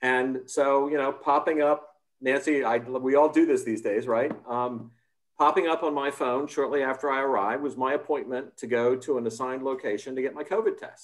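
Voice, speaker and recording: A man with an American accent and an unremarkable speaking voice talks at a moderate pace, his fairly high pitch held in fairly even intonation, on a very clean recording with a silent background. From United States. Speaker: democracy policy expert, panelist. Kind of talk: panel discussion.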